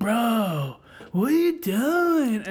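Someone puts on a character voice. It sits at a fairly high pitch with very wide pitch swings. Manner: dim-witted, confused.

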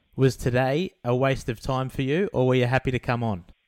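A man with an Australian accent talks at a medium pitch on a very clean recording with a silent background. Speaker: podcast host. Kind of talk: casual interview.

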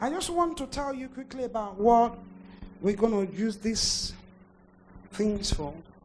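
A woman with a fairly high voice speaks with lively intonation, long and frequent pauses, and big swings in loudness over noticeable background noise. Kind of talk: fervent prayer and declaration. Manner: urgent, authoritative, declaring blessings and rebuking evil.

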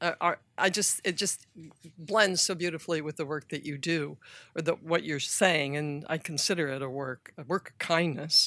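A woman with a bright, sharp tone talks at a moderate pace in a very clean recording with a silent background. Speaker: audience member asking questions. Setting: live event audience question.

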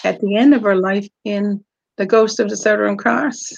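A woman speaks with a Newfoundland accent. Her pitch sits in the medium range. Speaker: author. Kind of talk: casual interview.

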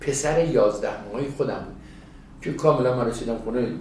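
Amid noticeable background noise and audible room echo, a man speaks fairly quickly with ordinary pitch variation. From Iran, village northwest of Tehran. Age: 60s. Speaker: retired emergency medical trainer. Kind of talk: interview, storytelling.

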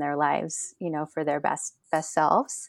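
Over a quiet background, a woman with an American accent speaks at a moderate pace in a very deep, low pitch. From US Northeast, Rhode Island. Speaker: habits coach and social worker. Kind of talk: podcast interview.

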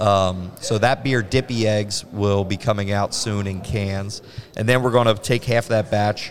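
With fairly even intonation, a man talks at a moderate pace in a fairly low pitch. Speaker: brewery owner. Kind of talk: casual interview. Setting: on site at a brewery.

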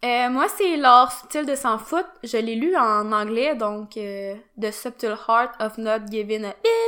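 In a Quebec accent, a woman speaks in a fairly high voice with ordinary pitch variation. Her pace is very slow. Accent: Québécois French. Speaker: fitness podcast co-host. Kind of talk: casual chat.

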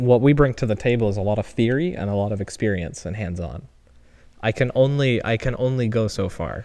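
A man speaks in a plain, everyday voice at medium pitch, fairly quick, with ordinary pitch variation. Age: 20s. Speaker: podcast co-host, engineering PhD student. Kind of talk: casual chat. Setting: home garage.

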